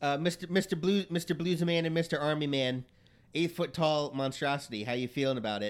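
With an unremarkable speaking voice, a man talks at a fairly quick pace, his fairly high pitch showing ordinary variation. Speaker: game master and podcast host. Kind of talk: tabletop RPG session, casual banter.

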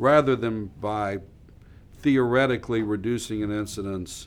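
This is a man with an ordinary speaking voice. His pitch is fairly low, with ordinary pitch variation. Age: 60s. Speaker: trial lawyer. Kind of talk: interview.

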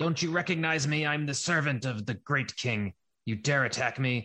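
In a put-on character voice, the speaker keeps a moderate pace, very even loudness and ordinary pitch variation over a quiet background. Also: man, fairly high pitch for a man.

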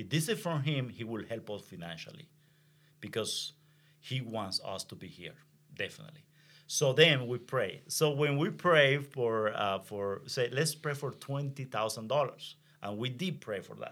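A man with a Venezuelan accent, medium pitch, moderate pace, lively intonation and big swings in loudness, on a very clean recording with a silent background. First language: Spanish. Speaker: pastor. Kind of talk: testimony. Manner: halting.

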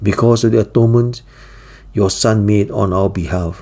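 A man speaks in a solemn tone, his fairly low pitch carrying a dark, mellow tone. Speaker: devotional teacher. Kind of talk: fervent prayer, led aloud as a devotional prayer. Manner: solemn, earnest and reverent, humble tone; formal, steady and heartfelt.

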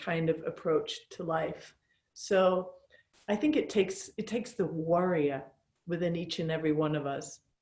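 A woman's somewhat breathy voice with a dark, mellow tone at a moderate pace. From Falkland Islands. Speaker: yoga teacher. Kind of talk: interview chat.

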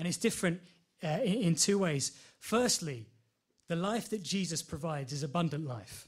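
A man with a London accent, high pitch, lively intonation and a moderate pace. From London, Enfield. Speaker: lay preacher. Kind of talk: sermon. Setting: church. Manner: halting, many fillers.

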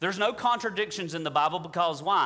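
Bright and sharp in tone, a man's voice sits at a high pitch with ordinary pitch variation. He speaks with a Southern US accent. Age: 40s. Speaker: pastor. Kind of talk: sermon. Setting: church. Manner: halting, with many filler words.

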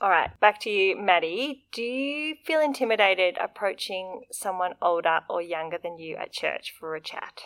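A woman with an Australian accent talks at a moderate pace and medium pitch, with lively intonation, big swings in loudness and hardly any pauses, in a dry, close sound with no echo. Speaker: podcast host. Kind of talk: interview.

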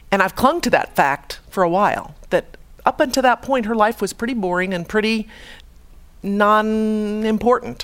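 A woman has an ordinary speaking voice with an American accent. She uses a moderate pace and ordinary pitch variation. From US Midwest, Chicago. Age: 50s. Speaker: radiologist giving a faith talk. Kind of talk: testimony talk.

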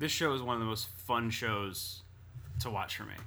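A man with a bright, sharp tone talks at a moderate pace, his voice carrying audible room echo. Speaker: podcast co-host. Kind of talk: casual chat.

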